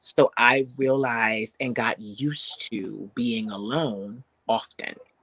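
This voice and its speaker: A man with medium pitch speaks in an animated, bright, sharp tone with ordinary pitch variation. The sound is dry and close with no echo. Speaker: singer and spiritual mentor. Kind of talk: interview.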